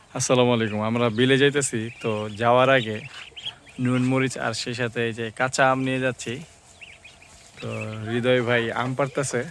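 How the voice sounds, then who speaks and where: Over noticeable background noise, a man speaks at a medium pitch with monotone, flat intonation. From Bangladesh, Brahmanbaria (Bancharampur). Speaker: village vlogger. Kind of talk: vlog walk-and-talk. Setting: outdoors. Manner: casual.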